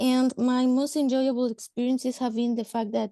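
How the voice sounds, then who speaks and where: A woman with a high pitch and a dark, mellow tone comes through a dry, close sound with no echo. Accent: Spanish. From Mexico. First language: Spanish. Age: 30s. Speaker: government social worker. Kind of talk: panel discussion. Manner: halting.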